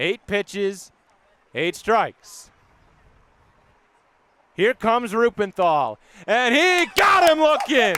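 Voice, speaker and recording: Here a man speaks in a raised, projected voice with very wide pitch swings. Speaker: baseball play-by-play broadcaster. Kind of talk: live baseball play-by-play call.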